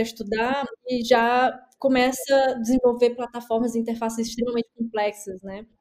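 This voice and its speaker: A woman speaks in a fairly high pitch with a monotone, flat intonation. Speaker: podcast host. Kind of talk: casual interview chat.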